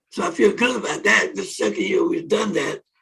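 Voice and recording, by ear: A man talks at a fairly quick pace in a high, fairly bright voice with a husky, rough edge, vocal fry and ordinary pitch variation.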